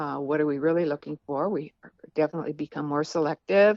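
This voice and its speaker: Speaking at a fairly quick pace, a woman has an ordinary speaking voice set at a fairly low pitch. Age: 60s. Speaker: author. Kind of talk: interview.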